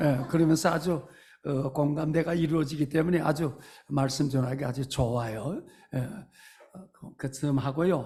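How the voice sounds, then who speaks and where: This man's voice is somewhat breathy, with a dark, mellow tone and fairly high pitch. He keeps a moderate pace and fairly even intonation. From North Korea. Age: 80s+. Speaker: pastor. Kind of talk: sermon. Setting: church. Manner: hesitant fillers.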